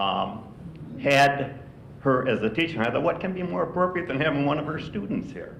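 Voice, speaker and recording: Fairly quick and lively in intonation, a man speaks at a fairly high pitch. Both audible room echo and noticeable background noise are present. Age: 80s+. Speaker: retired university administrator. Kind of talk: speech at a retiree breakfast.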